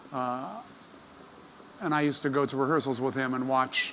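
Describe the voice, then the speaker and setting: A man talks in a medium pitch with fairly even intonation. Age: 60s. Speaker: session trumpet player. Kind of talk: interview. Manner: halting, many fillers.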